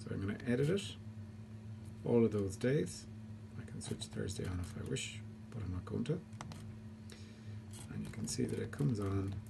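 Over noticeable background noise, the speaker keeps a moderate pace broken by long, frequent pauses. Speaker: homeowner demonstrating controller. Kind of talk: tutorial. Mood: calm, explanatory. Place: home room. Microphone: phone near.

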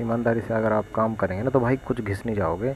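The speech moves at a moderate pace with fairly even intonation, sounding dry with no echo over light background noise. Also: man. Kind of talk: casual tutorial commentary. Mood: earnest, appealing. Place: shop.

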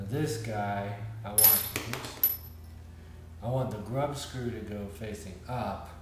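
Noticeable background noise and audible room echo surround a man speaking at a very slow pace. His pitch is fairly low, with ordinary pitch variation. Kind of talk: tutorial. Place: home room.

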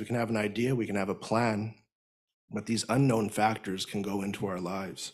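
An unremarkable speaking voice moves at a moderate pace with fairly even intonation against a quiet background. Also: man. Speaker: speaker. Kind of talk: sermon. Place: hall. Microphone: studio mic.

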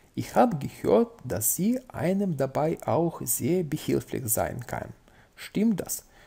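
Speaking very slowly, a man uses a fairly high pitch with very wide swings. His tone is dark and mellow. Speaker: language-learning YouTuber. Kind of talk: casual tutorial, reading and translating a book. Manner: informal, chatty, with fillers.

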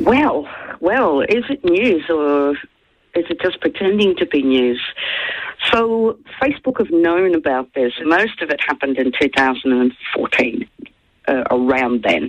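Very slow speech with long, frequent pauses over a quiet background. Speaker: interview guest, journalist. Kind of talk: interview answer. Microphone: phone line.

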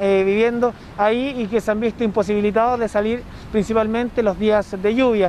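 A man with a high pitch talks at a moderate pace and fairly even intonation, in a dry sound with no echo and light background noise. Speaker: news reporter. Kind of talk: news report to camera. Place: street. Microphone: handheld.

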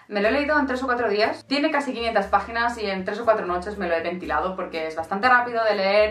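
Audible room echo surrounds a woman talking at a very fast pace. Her medium-pitched voice has lively intonation. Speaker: book youtuber. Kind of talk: casual book review vlog. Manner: animated. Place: home room.

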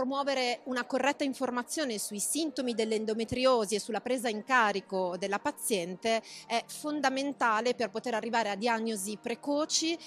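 A woman's high-pitched voice with ordinary pitch variation at a moderate pace, in a dry sound with no echo and faint music in the background. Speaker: interviewee. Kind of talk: interview answer. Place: hall. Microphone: handheld.

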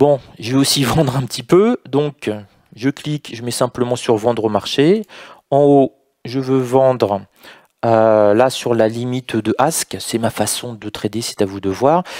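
A man at a fairly slow pace with ordinary pitch variation, dry sound with no echo and a quiet background. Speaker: trading educator. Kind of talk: tutorial. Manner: talkative. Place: home room. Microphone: headset.

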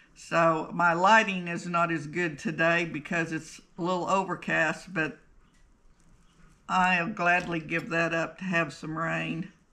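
Very slowly, a woman speaks in a fairly low pitch with a bright, sharp tone. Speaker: sewing instructor. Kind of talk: tutorial. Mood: relaxed, cheerful.

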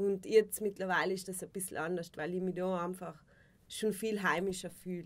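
A woman's monotone, flat voice at a moderate pace. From South Tyrol. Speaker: actress and musician. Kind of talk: casual interview. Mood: relaxed, reflective. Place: studio.

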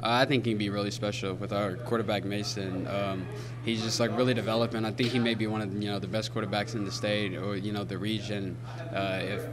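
A man speaks at a very fast pace. Noticeable background noise can be heard. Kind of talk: interview answer. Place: hall. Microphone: handheld.

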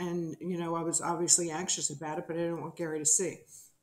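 This woman speaks with a fairly low pitch. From New Jersey. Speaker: television producer; interview guest. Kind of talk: interview testimony. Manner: animated. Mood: earnest, reflective. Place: home room.

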